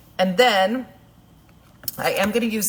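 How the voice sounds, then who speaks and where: An American accent against noticeable background noise. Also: woman. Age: 60s. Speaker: makeup artist. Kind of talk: livestream makeup tutorial. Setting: live video stream. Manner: casual, chatty.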